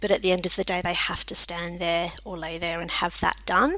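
A woman is speaking. She has an Australian accent. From South Australia, Adelaide. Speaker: vet nurse and college academic director. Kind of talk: casual interview. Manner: hesitant, many fillers.

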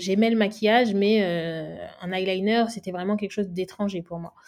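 A woman speaks fairly quickly in a plain, everyday voice at a medium pitch. Her intonation is fairly even, and the recording is very clean with a silent background. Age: 20s. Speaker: make-up artist. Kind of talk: interview.

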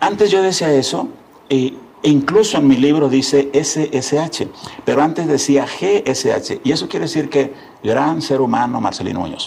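Noticeable background noise under a man with a fairly high pitch, ordinary pitch variation and a fairly slow pace. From Tamaulipas, northern Mexico (rural ranch near Río Bravo). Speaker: businessman and education advocate. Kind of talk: interview conversation. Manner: halting, with frequent repetitions.

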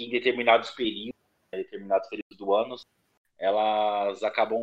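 A man of medium pitch at a moderate pace, monotone and flat, with long, frequent pauses. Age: 30s. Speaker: nursing technician. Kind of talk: casual interview.

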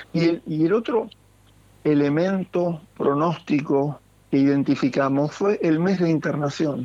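A man speaks at a fairly slow pace in a dark, mellow tone. His loudness stays very even throughout. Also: fairly high pitch for a man, ordinary pitch variation. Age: 60s. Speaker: intensive care doctor. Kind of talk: interview.

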